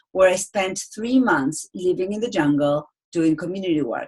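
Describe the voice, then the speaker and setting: A woman with an Argentine accent and lively intonation. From Argentina. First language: Spanish. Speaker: speaking coach. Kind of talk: webinar presentation. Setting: online webinar.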